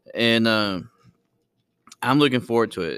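A man speaks at a fairly slow pace in a fairly low pitch. His tone is bright and sharp, and the recording is very clean with a silent background. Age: 30s. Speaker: podcast host and history teacher. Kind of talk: casual solo monologue. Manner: laughing often.

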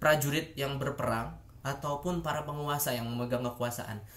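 The room echo is audible around this man. His voice is fairly high and somewhat breathy. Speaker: YouTuber, international relations student. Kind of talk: educational video monologue. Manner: hesitant, many fillers.

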